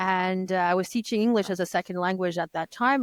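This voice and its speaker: Speaking at a fairly quick pace with ordinary pitch variation, a woman with a French accent sounds dry and close, with no echo. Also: very clean recording, silent background. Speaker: conference interpreter. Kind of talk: podcast interview. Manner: halting, many false starts.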